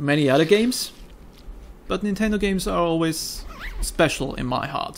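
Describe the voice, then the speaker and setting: A man with a German accent and a high voice speaks at a moderate pace with lively intonation and long, frequent pauses. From Austria. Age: 20s. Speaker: gaming YouTuber. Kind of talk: casual chat. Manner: improvised, rambling.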